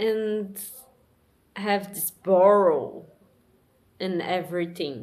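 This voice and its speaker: With a Portuguese accent, a woman talks at a very slow pace in a medium pitch, her intonation fairly even and broken by long, frequent pauses. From Brazil. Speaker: vlogger. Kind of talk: personal monologue. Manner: halting.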